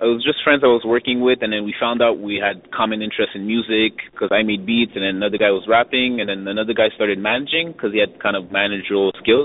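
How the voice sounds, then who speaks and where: A normal speaking voice from a man, medium in pitch with ordinary variation, at a fairly quick pace. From Montreal, Canada. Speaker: hip hop rapper and producer. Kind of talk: casual interview.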